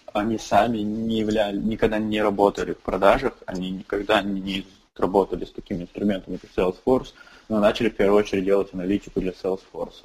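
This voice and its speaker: Very fast and flat, a man talks in a monotone at a fairly low pitch. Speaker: startup founder and CEO. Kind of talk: interview.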